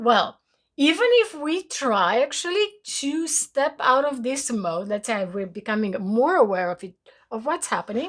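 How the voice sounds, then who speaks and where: Speaking in a Romanian accent at a fairly slow pace, a woman with a high pitch shows very wide pitch swings and big swings in loudness. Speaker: spiritual teacher. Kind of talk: spiritual talk to followers. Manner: hesitant, many fillers.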